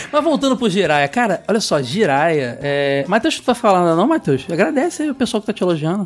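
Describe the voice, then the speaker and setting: Very wide pitch swings at a fairly quick pace over noticeable background noise. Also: man, high pitch for a man, hardly any pauses. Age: 30s. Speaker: podcast host. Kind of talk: casual chat.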